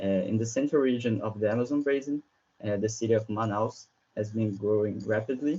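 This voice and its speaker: A man with a Brazilian Portuguese accent speaks at a fairly quick pace, his medium pitch held in fairly even intonation. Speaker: researcher. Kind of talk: conference presentation. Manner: halting, with many fillers and repetitions.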